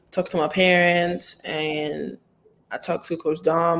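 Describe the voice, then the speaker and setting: Her intonation monotone and flat, a woman with a fairly low pitch speaks at a moderate pace. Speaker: college basketball player. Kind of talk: interview.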